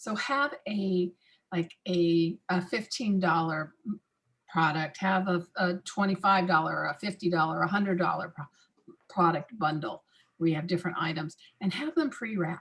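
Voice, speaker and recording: Here a woman has a normal speaking voice at a fairly low pitch. Her pace is moderate, with ordinary pitch variation. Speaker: massage industry expert. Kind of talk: webinar talk.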